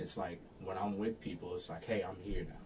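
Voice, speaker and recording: Audible room echo surrounds a man speaking at a fairly quick pace and fairly low pitch. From Florida, Daytona Beach. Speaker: singer in a party band. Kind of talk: casual interview chat. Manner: deadpan.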